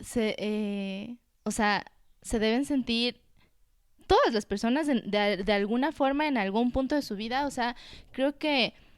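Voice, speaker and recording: A woman's fairly high voice with ordinary pitch variation, fairly slow and broken by long, frequent pauses, on a very clean recording with a silent background. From Ecuador, Quito. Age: 20s. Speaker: entrepreneur, cosmetics brand founder. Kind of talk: casual chat.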